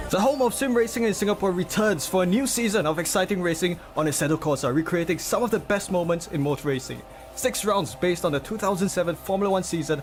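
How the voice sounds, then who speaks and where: The speech is very fast with lively intonation. Music plays in the background. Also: man. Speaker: sim racing commentator. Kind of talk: season intro read.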